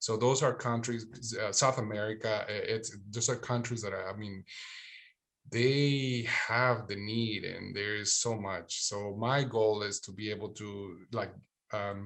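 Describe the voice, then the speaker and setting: In a Spanish accent, a man speaks slowly at a fairly low pitch with fairly even intonation. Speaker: therapist and military veteran. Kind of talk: panel discussion. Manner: halting.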